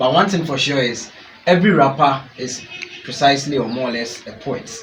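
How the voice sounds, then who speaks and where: A man with a Ghanaian accent talks at a fairly quick pace and fairly high pitch, with ordinary pitch variation. Noticeable background noise and audible room echo surround the voice. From Ghana, Ashanti. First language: Twi. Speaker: rapper. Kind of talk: interview.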